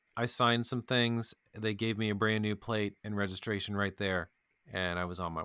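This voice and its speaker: A man's fairly low voice with a bright, sharp tone, an American accent and fairly even intonation, on a very clean recording with a silent background. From US Midwest (Kentucky, Indiana). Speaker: podcast co-host, IT worker. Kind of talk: casual chat.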